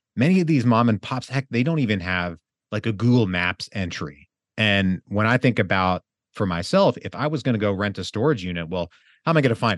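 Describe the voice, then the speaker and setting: Against a quiet background, a man with an unremarkable speaking voice talks fairly quickly at a fairly low pitch with lively intonation, in a dry, close sound with no echo. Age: 30s. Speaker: real estate investor. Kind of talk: interview.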